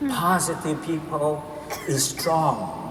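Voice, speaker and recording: Recorded with audible room echo and noticeable background noise, a man talks in a high pitch. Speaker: motivational speaker. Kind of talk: keynote speech. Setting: stage with audience. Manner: slow; halting.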